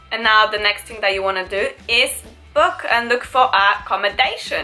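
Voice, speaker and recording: Music plays in the background as a woman speaks at a moderate pace with a fairly high pitch. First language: not English. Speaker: travel and beauty vlogger. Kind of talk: casual talk to camera.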